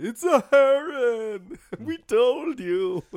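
The pitch is fairly high. It is a put-on character voice. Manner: annoying, mocking.

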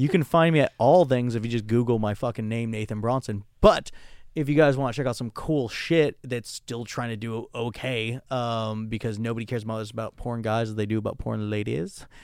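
A man with a normal speaking voice talks fairly quickly at a medium pitch, with ordinary pitch variation and big swings in loudness, on a very clean recording with a silent background. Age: 30s. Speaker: adult performer. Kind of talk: casual chat.

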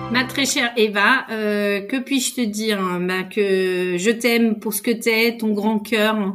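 Speaking at a very slow pace, a woman with a Spanish accent has a fairly high voice and fairly even intonation. The recording is very clean, with a silent background. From Spain. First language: Spanish (speaking French). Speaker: podcast guest. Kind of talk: casual chat.

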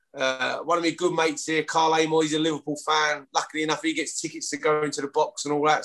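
A man speaks at a very fast pace with a strong East London accent and a fairly high pitch. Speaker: former rugby league player. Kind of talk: casual interview chat.

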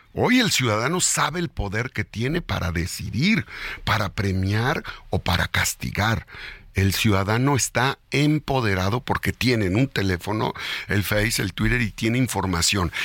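With lively intonation and a fairly low pitch, a man speaks in a plain, everyday voice. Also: fairly slow pace, dry, close sound with no echo. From Mexico, Puebla. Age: 50s. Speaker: politician. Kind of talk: radio interview. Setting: studio.

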